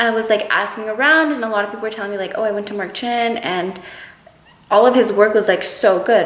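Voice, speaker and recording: Noticeable background noise and audible room echo surround a voice with an American accent. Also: woman. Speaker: beauty vlogger. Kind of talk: casual vlog Q&A. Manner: fast.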